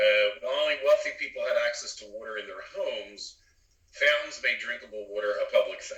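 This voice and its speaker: Speaking at a fairly quick pace with a Philadelphia accent, a man's loudness swings widely. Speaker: engineer and co-host. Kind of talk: casual chat.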